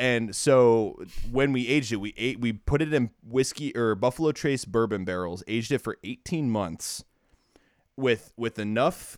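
A plain, everyday voice with an American accent, ordinary pitch variation and a moderate pace. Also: man. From Ohio, US Midwest. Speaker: brewery worker. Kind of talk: casual chat.

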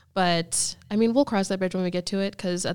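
An unremarkable speaking voice, a woman's, comes at a medium pitch with an American accent and fairly even intonation in a very clean recording with a silent background. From US Northeast (Erie, Pennsylvania). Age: 20s. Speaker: bikini fitness competitor and coach. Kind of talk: casual interview chat.

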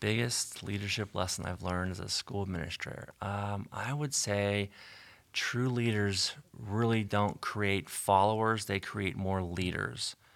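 At a fairly slow pace, a man with a fairly low pitch and a plain, everyday voice speaks with ordinary pitch variation on a very clean recording with a silent background. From western Pennsylvania, Canonsburg. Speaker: school superintendent. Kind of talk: interview.

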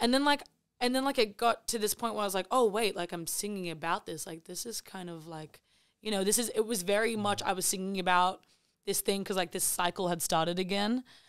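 The speaker moves at a fairly quick pace with ordinary pitch variation and big swings in loudness. The recording is very clean, with a silent background. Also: woman, medium pitch for a woman. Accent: Australian. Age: 20s. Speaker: singer-songwriter. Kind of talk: casual chat.

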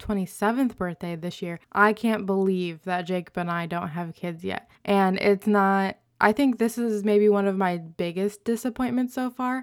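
A plain, everyday voice speaks at a fairly slow pace with hardly any pauses and fairly even intonation on a very clean recording with a silent background. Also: woman. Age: 20s. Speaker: podcast co-host. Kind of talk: casual chat.

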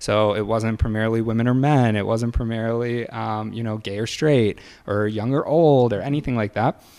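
This man has a plain, everyday voice, pitched in the medium range. His speed is moderate, and his intonation stays fairly even. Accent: American. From Michigan, near Detroit. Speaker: realtor. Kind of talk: interview.

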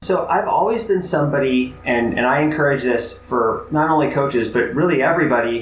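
A man at a fairly quick pace with hardly any pauses, lively intonation and very even loudness, over noticeable background noise. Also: fairly high pitch for a man. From Chicago, US Midwest. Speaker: college athletics administrator and former basketball coach. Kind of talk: interview.

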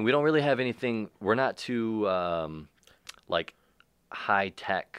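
An ordinary speaking voice, a man talks at a medium pitch with lively intonation and a fairly slow pace. The sound is dry and close with no echo, in a very clean recording with a silent background. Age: 30s. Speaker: metal band musician. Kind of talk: casual chat.

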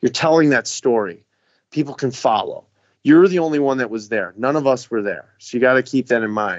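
In a normal speaking voice of medium pitch, a man with an American accent talks at a fairly quick pace with ordinary pitch variation. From Chicago. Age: 30s. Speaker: tiny home builder. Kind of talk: podcast interview.

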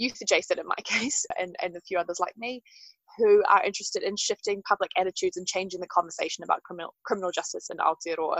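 Ordinary pitch variation marks this voice with a New Zealand accent. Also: woman. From New Zealand, Wellington. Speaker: justice reform advocate. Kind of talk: interview. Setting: outdoors.

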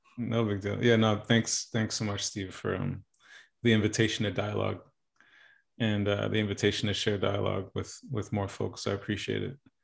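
Against a quiet background, a man talks at a fairly quick pace with a fairly low pitch. His intonation is monotone and flat, with vocal fry. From New York, child of Haitian immigrants. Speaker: life coach and musician. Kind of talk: casual interview conversation. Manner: reflective, many fillers.

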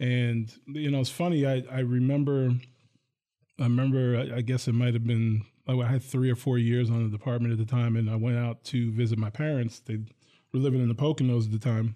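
A man with an American accent talks at a fairly quick pace in a dark, mellow tone and medium pitch. His intonation stays monotone and flat, and his loudness is very even. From northern New Jersey, Bergen County. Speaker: college police chief, retired city police major. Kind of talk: radio interview.

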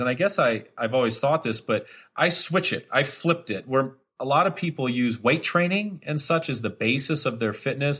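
Heard on a very clean recording with a silent background, a man with a normal speaking voice talks at a fairly quick pace, medium in pitch with ordinary pitch variation. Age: 40s. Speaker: fitness instructor. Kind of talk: interview.

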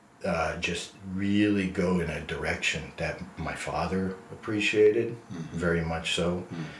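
Over noticeable background noise, a man with an American accent talks at a fairly slow pace in a very deep, low voice with fairly even intonation. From US, New Jersey. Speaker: nonprofit executive director. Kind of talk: interview.

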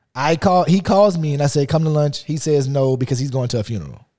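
On a very clean recording with a silent background, a man speaks at a very fast pace, somewhat breathy, with a dark, mellow tone, fairly high pitch and lively intonation. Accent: Louisiana. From US South, Lafayette, Louisiana. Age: 30s. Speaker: podcast co-host. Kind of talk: casual chat.

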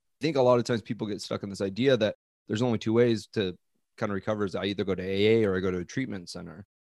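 A man with a fairly low pitch and an American accent talks at a very fast pace with ordinary pitch variation, in a dry, close sound with no echo and a quiet background. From US Northwest, Coeur d'Alene, Idaho. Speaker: life coach. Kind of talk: interview, personal testimony.

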